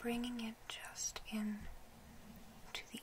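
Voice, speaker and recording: Whispered words at a very slow pace with noticeable background noise. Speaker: makeup artist. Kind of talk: ASMR makeup roleplay, soft spoken. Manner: soft-spoken, whispery, calm.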